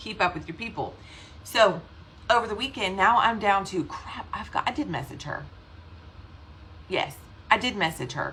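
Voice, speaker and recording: Bright, sharp and animated in a Southern US accent, with vocal fry, lively intonation and a moderate pace. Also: woman. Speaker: direct sales team leader. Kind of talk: casual livestream talk. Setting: live video stream.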